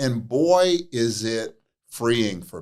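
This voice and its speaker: With an unremarkable speaking voice, a man talks at a medium pitch using lively intonation. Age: 60s. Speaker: addiction counselor and author. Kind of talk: interview.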